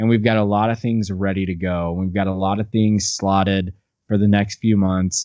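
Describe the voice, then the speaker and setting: Against a quiet background, a man speaks at a moderate pace with a fairly low pitch. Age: 20s. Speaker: musician in a band. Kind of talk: casual interview chat. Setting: remote video call. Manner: animated.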